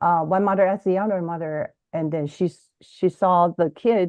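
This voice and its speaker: A woman with a Chinese accent speaks in a fairly low voice with fairly even intonation. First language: Mandarin Chinese. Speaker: bilingual education author and podcaster. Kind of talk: interview. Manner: halting, frequent repetitions.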